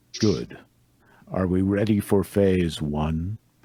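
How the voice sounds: A man puts on a character voice, pitched very deep and low, and draws his words out at a very slow pace.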